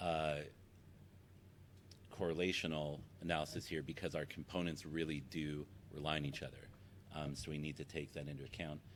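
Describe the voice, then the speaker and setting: A man's very deep, low voice with vocal fry, flat monotone delivery, and long, frequent pauses. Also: fairly quick pace. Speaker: academic researcher. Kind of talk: conference talk. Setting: presentation with audience. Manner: halting, many fillers.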